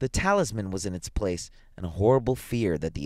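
Here is a voice reading. It is a natural reading voice.

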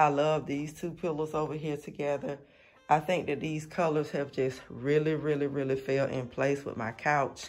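At a moderate pace, a man talks in a monotone, flat intonation. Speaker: home decor vlogger. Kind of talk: casual vlog chat. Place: home room. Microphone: phone near.

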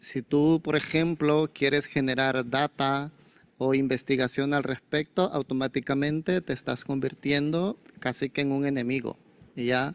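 A normal speaking voice from a man, fairly high in pitch, with fairly even intonation at a fairly slow pace. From El Salvador. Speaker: humanitarian coordinator; speaker. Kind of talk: conference presentation. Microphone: handheld.

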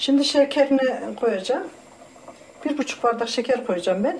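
The intonation is lively. Noticeable background noise can be heard. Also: woman. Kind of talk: tutorial. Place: kitchen. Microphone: camera far.

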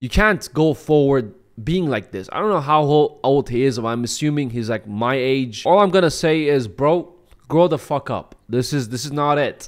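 In a quiet setting, a man speaks at a moderate pace with a fairly high pitch and lively intonation. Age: 20s. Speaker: YouTube commentator. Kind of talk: commentary video. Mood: critical, mocking. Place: home room. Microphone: studio mic.

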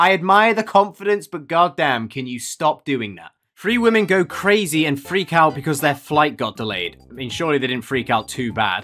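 Faint music plays in the background. A man speaks at a moderate pace with hardly any pauses. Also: big swings in loudness. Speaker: streamer. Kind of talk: casual reaction commentary. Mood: sarcastic, joking. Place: home room.

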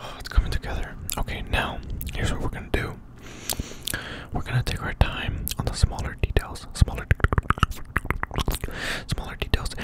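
Loud background noise surrounds a man talking at a moderate pace with long, frequent pauses, the sound dry with no echo. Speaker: ASMR creator. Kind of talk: ASMR talk to camera with mouth sounds. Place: home room. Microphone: studio mic.

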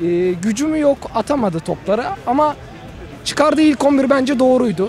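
A man speaks with an extremely high pitch and lively intonation. Light background noise sits under a dry sound with no echo. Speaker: football fan. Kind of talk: street interview. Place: street. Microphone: handheld.

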